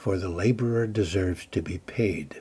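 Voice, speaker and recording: A man's dark, mellow voice, somewhat breathy, with ordinary pitch variation and a fairly slow pace, on a very clean recording with a silent background. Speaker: devotional speaker. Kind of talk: fervent prayer and guided meditation. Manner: calm, gentle, slow and soothing; earnest, fervent, imploring.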